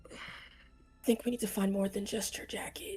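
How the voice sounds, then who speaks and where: A woman puts on a raspy character voice at a fairly high pitch. She talks fairly quickly over faint music in the background. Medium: actual play.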